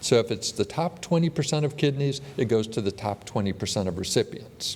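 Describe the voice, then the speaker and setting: A man's somewhat breathy voice at a fairly quick pace, with lively intonation. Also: medium pitch for a man. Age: 60s. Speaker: transplant surgeon. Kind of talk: conference talk.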